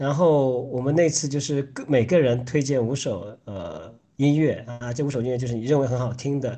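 The man's voice is somewhat breathy. It has a dark, mellow tone. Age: 30s. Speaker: podcast co-host. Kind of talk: casual chat.

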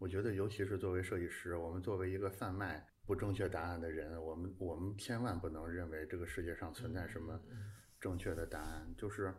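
A very deep, low male voice, somewhat breathy, at a fairly quick pace with fairly even intonation and audible room echo. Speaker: design community editor-in-chief and podcast host. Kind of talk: casual conversational interview. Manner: hesitant, with repeated filler words.

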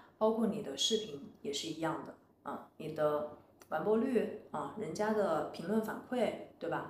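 A woman at a medium pitch, fairly slow pace and lively intonation, with big swings in loudness, audible room echo and noticeable background noise. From China, Wuhan. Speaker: former designer turned entrepreneur. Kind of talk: interview conversation.

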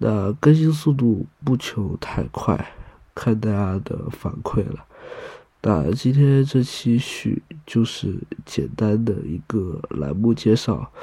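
At a very slow pace, a man speaks with a somewhat breathy, dark, mellow tone at medium pitch. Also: lively intonation. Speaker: podcast host. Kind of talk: podcast introduction. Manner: casual.

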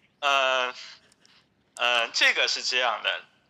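A man talks at a very slow pace. His tone is bright and sharp, with ordinary pitch variation. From Hangzhou, eastern China. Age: 20s. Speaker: podcast guest. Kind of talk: casual interview. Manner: halting, many fillers.

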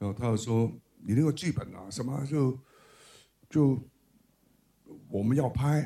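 This man's voice is somewhat breathy, with a dark, mellow tone at medium pitch. He talks fairly slowly, leaving long, frequent pauses, and his loudness swings widely. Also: ordinary pitch variation. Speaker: film director. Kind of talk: book talk with anecdotes. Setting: bookstore event with live audience.

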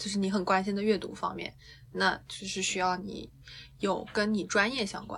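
In a room with audible echo, a woman speaks with vocal fry and a monotone, flat intonation. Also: medium pitch for a woman, moderate pace. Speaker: dance teacher. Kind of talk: casual chat.

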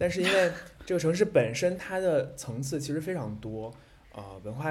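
Somewhat breathy and with lively intonation, a man talks at a fairly quick pace. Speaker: podcast co-host, moderator. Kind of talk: casual chat. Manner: animated, laughs often.

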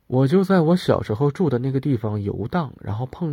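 A man speaks at a moderate pace in a medium-pitched, dark and mellow voice, recorded very cleanly against a silent background. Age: 30s. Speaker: podcast host. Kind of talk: solo casual monologue.

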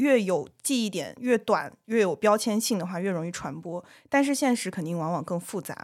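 On a very clean recording with a silent background, a woman with a normal speaking voice talks at a medium pitch with lively intonation. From southern China. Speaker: podcast co-host. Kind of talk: casual chat.

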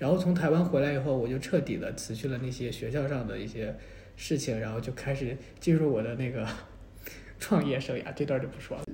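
Noticeable background noise sits under a man speaking at a fairly quick pace, medium in pitch with ordinary pitch variation. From mainland China. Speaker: graduate student. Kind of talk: casual chat. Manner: halting, many fillers.

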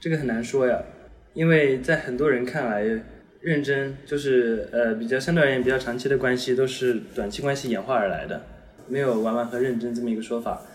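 A man's medium-pitched voice at a fairly quick pace, fairly even intonation, and audible room echo. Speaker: university student giving dating advice. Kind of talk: casual chat.

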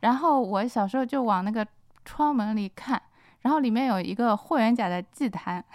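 Here is a woman with an unremarkable speaking voice. Her pitch is fairly high, with ordinary variation. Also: moderate pace. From Shanghai. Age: 40s. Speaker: novelist. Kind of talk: casual chat. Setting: studio.

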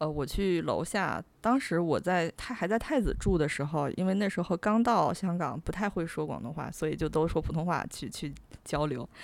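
A woman's ordinary speaking voice, fairly low in pitch with lively intonation, on a very clean recording with a silent background. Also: moderate pace. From China, Tianjin. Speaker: podcast host, freelance writer. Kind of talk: casual chat.

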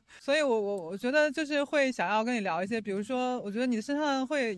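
A woman talks at a very fast pace with a slight Jiangsu-Zhejiang-Shanghai accent. Her pitch is high and her intonation is lively. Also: hardly any pauses. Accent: little Jiangsu-Zhejiang-Shanghai. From Jiangsu (Nanjing). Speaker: podcast host. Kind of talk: casual chat. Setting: outdoors by the roadside.

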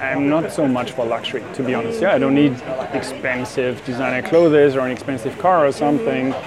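Amid noticeable background noise and audible room echo, a man with a medium pitch talks at a fairly quick pace with ordinary pitch variation. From Germany. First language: German. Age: 50s. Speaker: life coach and entrepreneur. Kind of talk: interview. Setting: cafe.

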